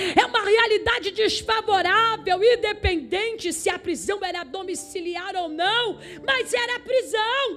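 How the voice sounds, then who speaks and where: Animated and with hardly any pauses, the voice moves at a fairly slow pace with ordinary pitch variation against noticeable background noise. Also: woman, extremely high pitch for a woman. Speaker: missionary preacher. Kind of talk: sermon. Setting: church service.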